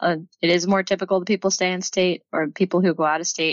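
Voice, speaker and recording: This woman has a plain, everyday voice with an American accent and a fairly low pitch. She talks at a fairly quick pace with fairly even intonation. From Texas. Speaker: PhD student in chemical engineering. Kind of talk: casual interview.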